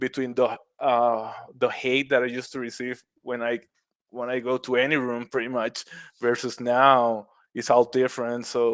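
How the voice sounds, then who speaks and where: In a Puerto Rican accent, a man speaks at a moderate pace and medium pitch with monotone, flat intonation on a very clean recording with a silent background. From Puerto Rico, west coast beach town. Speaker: mushroom cultivator, former accountant. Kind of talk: podcast interview. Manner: halting, many repetitions.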